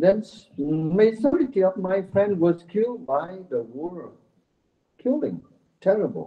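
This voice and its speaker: Speaking at a fairly slow pace with a non-native accent, a man uses a high voice that makes very wide pitch swings. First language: Vietnamese. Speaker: Buddhist monk. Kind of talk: conference speech. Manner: halting.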